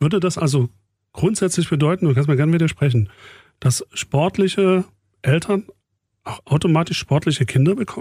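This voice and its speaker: A man's fairly high-pitched voice, dark and mellow in tone, with long, frequent pauses and a dry, close sound with no echo on a very clean recording with a silent background. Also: ordinary pitch variation, moderate pace. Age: 40s. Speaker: radio program director and podcast host. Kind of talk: casual chat.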